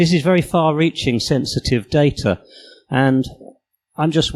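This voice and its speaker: With a British accent, a man talks using ordinary pitch variation, the sound dry and close with no echo. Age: 60s. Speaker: conference speaker and apprentice preschool teacher. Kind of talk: conference talk.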